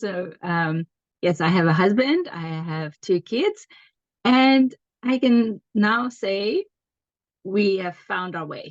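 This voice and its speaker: A woman speaks with a South African accent at a very slow pace, using lively intonation and long, frequent pauses. Her loudness swings widely, and the sound is dry and close with no echo. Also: medium pitch for a woman. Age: 40s. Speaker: homeschooling mum and business partner. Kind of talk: casual chat.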